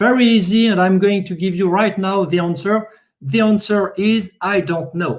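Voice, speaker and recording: A man's high-pitched voice in a French accent. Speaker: software testing expert. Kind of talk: conference presentation. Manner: halting.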